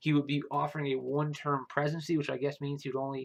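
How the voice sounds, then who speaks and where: This man's pitch is fairly high and his pace is very fast. The background is quiet. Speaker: political commentary youtuber. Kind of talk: casual video commentary. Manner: hesitant with many fillers.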